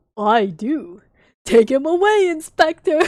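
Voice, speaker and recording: In a put-on character voice, a woman speaks fairly slowly at a high pitch, her pitch swinging very widely. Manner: jolly.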